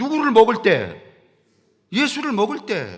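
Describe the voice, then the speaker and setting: An extremely high-pitched man speaks with lively intonation on a very clean recording with a silent background. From rural Korea. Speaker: pastor. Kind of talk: sermon. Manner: conversational, folksy.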